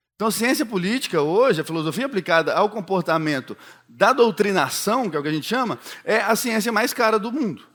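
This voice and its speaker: A man speaks in a high voice with a Minas Gerais accent, at a fairly quick pace and with lively intonation. The recording is very clean, with a silent background. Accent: mineiro accent from Belo Horizonte. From Belo Horizonte, Minas Gerais, Brazil. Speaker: political marketing speaker. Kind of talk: keynote talk.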